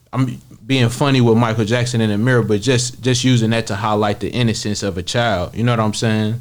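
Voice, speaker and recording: With a plain, everyday voice, a man speaks at medium pitch, using fairly even intonation and hardly any pauses. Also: fairly quick pace. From Kansas City, Missouri. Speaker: rapper. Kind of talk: interview.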